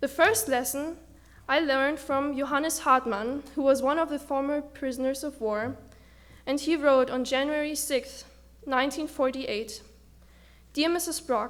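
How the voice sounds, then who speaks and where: A woman with a German accent, high-pitched, at a moderate pace with ordinary pitch variation and long, frequent pauses. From Germany. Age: 20s. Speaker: student speaker. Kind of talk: speech. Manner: halting.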